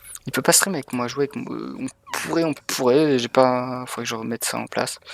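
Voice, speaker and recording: A man speaks at a medium pitch and fairly quick pace with ordinary pitch variation. The sound is dry and close with no echo, though background noise is noticeable. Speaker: video game streamer. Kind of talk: live gameplay commentary. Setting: streaming from home. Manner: animated.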